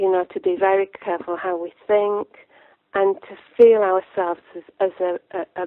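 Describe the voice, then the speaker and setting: In a Lancashire accent, a woman at medium pitch talks at a moderate pace with fairly even intonation and big swings in loudness. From northern England, Lancashire. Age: 60s. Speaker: author. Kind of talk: interview. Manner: halting.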